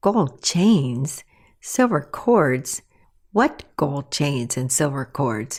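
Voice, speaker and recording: A woman puts on a croaky character voice, pitched very deep and low, speaking at a very slow pace with very wide swings in pitch. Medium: read story.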